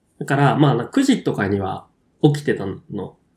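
This man's somewhat breathy delivery comes at a fairly slow pace, his intonation lively. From Kyushu, Japan. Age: 20s. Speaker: podcast co-host. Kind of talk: casual chat.

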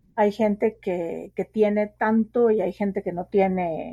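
A woman speaks at a very slow pace in a medium pitch, her dark, mellow tone somewhat breathy. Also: dry, close sound with no echo. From Guatemala City, Guatemala. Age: 40s. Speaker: sociologist and writer. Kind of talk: interview.

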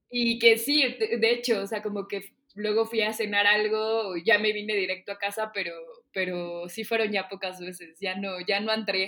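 In an ordinary speaking voice, a woman talks at a medium pitch and a fairly slow pace. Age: 30s. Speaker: podcast host. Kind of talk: casual chat.

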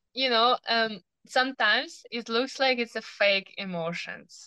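A woman speaks at a fairly slow pace in a clear, smooth, bright, sharp tone. The sound is dry and close with no echo. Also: fairly high pitch for a woman, ordinary pitch variation.

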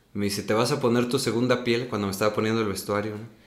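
A man speaks at a medium pitch in a monotone, flat way, with audible room echo. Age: 30s. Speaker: stage actor. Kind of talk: casual interview.

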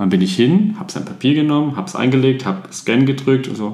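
The pitch swings very widely at a fairly quick pace. Noticeable background noise and audible room echo surround the voice. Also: man. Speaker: podcast co-host, gin tasting. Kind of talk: casual chat.

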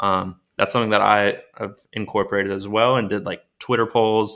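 Fairly quick and monotone, with flat intonation, a man with an American accent talks at a fairly low pitch in a bright, sharp tone. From Maryland, US. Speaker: professional baseball player and NFT creator. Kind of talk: podcast interview. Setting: remote guest line.

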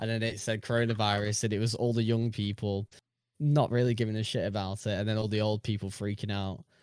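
In a very clean recording with a silent background, a man with a British accent speaks very fast in a fairly low, monotone, flat voice. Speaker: podcast co-host. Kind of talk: casual chat. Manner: talkative, jokey, laughs often.

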